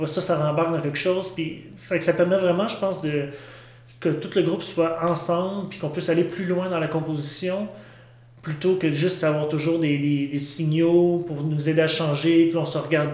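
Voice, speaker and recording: Monotone, flat intonation at a moderate pace, with noticeable background noise and audible room echo. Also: man, high pitch for a man. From Quebec, Saint-Hyacinthe. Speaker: experimental musician, drummer. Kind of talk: interview. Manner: halting.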